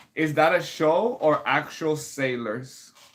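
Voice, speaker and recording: A man's voice with a Spanish accent. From Puerto Rico. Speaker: composer and pianist streamer. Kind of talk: casual livestream chat.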